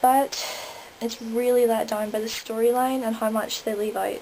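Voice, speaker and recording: Noticeable background noise sits behind a woman with a Northern Irish accent speaking at a moderate pace with a fairly high pitch. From Northern Ireland. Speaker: vlogger. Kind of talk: review vlog.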